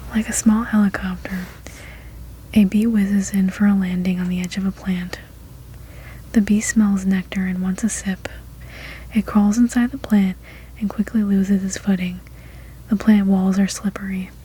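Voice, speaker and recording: A soft-spoken voice with a relaxed tone moves at a moderate pace. Long, frequent pauses come through noticeable background noise. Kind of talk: soft-spoken ASMR story read-aloud. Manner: soft-spoken, relaxed.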